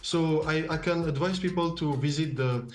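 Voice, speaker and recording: A man with a strong French accent, fairly high-pitched, ordinary pitch variation, music playing in the background. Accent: heavy French. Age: 20s. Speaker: filmmaker and photographer. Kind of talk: TV interview answer via video call. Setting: video call. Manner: hesitant, many fillers.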